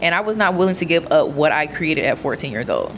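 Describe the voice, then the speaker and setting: Noticeable background noise sits behind a woman speaking at a moderate pace. Her tone is animated, her pitch medium with ordinary variation. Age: 20s. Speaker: content creator. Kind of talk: reading aloud with commentary.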